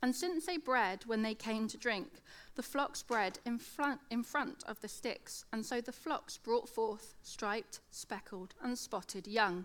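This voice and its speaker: Hardly pausing, a woman with a British accent talks at a fairly high pitch with lively intonation. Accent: British, slight lateral lisp. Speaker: teacher giving a church talk. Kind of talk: sermon. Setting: church with audience.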